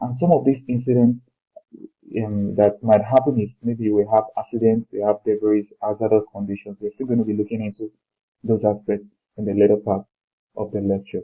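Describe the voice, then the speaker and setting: With a Nigerian accent, a man speaks at a moderate pace with fairly even intonation and a fairly low pitch. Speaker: lecturer. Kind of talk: lecture. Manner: halting, with repetitions and fillers.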